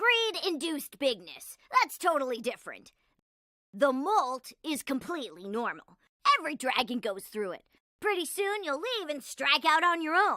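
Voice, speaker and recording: A cartoonish character voice sounds female and sits high in pitch. Its pitch swings very widely. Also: moderate pace. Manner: upbeat, casual.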